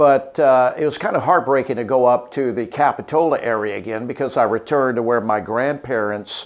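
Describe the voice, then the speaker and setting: A relaxed man with an American accent talks at a fairly quick pace with hardly any pauses, a medium pitch and ordinary pitch variation, over noticeable background noise. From Los Angeles, California, later Arkansas from junior high. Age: 60s. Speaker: radio morning show host. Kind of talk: interview-style personal storytelling. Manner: relaxed, many filler 'uh's.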